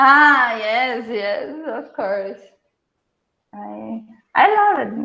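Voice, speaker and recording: Speaking at a very slow pace with long, frequent pauses, a woman with a Brazilian Portuguese accent uses a high pitch, lively intonation and a bright, sharp tone, and audible room echo surrounds her voice. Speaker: researcher. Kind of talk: Q&A after lecture. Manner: halting.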